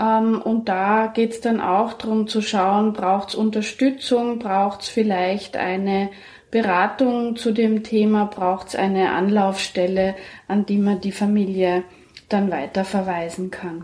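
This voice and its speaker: Speaking at a very slow pace, a woman with a medium pitch keeps her intonation fairly even. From Germany. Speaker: midwife. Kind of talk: interview. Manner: hesitant with frequent fillers.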